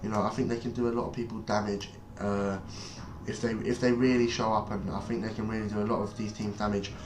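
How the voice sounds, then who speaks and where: Very fast, monotone, flat speech in an English accent, with audible room echo and noticeable background noise. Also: man, fairly low pitch for a man. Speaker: football YouTuber. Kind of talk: casual monologue. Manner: hesitant, many fillers.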